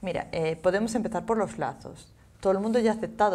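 A woman is talking here. She goes at a very fast pace. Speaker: fashion trends commentator. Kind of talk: casual chat. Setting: studio. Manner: animated. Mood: lively, animated. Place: studio. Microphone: lapel.

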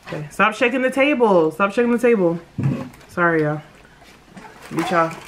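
Over light background noise, a woman with a medium pitch speaks at a fairly quick pace, her intonation lively and broken by long, frequent pauses. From United States. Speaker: mukbang YouTuber. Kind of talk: casual vlog chat while eating. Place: home room. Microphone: phone near.

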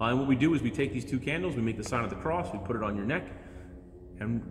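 A man talks with ordinary pitch variation. There is light background noise and audible room echo. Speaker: priest. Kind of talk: sermon. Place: church. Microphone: phone near.

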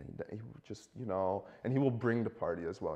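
Somewhat breathy male voice, medium in pitch, with a dark, mellow tone. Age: 20s. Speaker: student; talk show guest. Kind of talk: casual chat. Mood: playful, animated storytelling. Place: studio.

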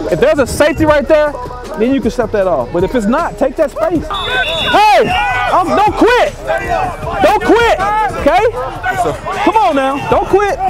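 A man speaks with long, frequent pauses. Clear music plays in the background. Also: moderate pace, dry sound with no echo. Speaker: assistant football coach. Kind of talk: coaching instructions and encouragement. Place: stadium. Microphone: lapel.

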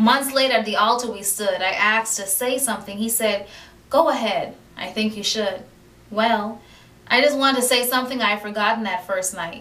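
A woman at a fairly quick pace, with big swings in loudness and ordinary pitch variation. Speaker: poet. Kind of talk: spoken word poetry reading. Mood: warm, romantic, expressive. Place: home room. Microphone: camera far.

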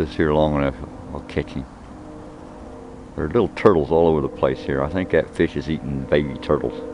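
Over noticeable background noise, a man talks fairly quickly with a very deep, low pitch, the sound dry with no echo. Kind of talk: casual vlog chat. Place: waterside. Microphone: phone near.

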